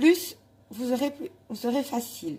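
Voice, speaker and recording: A woman's high-pitched voice with a dark, mellow tone, ordinary pitch variation and a fairly slow pace. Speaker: cooking video host. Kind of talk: cooking tutorial. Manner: halting, stumbles over words.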